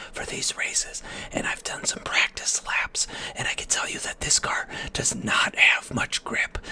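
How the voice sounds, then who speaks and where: Whispering at a moderate pace, a man comes through noticeable background noise. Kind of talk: gaming commentary, racing video. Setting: home recording, voiceover over gameplay. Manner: whispered, soft-spoken.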